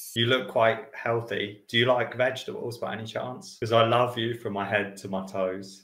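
Audible room echo surrounds a man speaking at a fairly quick pace. He barely pauses, and his pitch varies an ordinary amount. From United Kingdom. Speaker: English teacher. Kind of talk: casual talk to camera.

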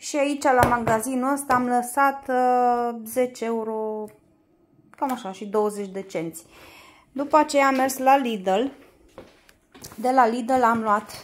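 Pausing long and often, a woman with a high pitch speaks at a very slow pace. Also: ordinary pitch variation. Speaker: home vlogger. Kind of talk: casual vlog chat. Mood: cheerful, laughs. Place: home room. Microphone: phone near.

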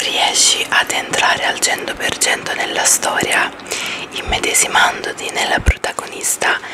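Fairly slow whispering from a woman. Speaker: ASMR creator. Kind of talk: book review to camera, ASMR style. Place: home room. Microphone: studio mic.

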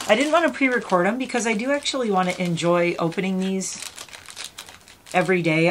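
A woman at a fairly quick pace with ordinary pitch variation, amid noticeable background noise. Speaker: unboxing vlogger. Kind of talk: casual vlog chat. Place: home room.

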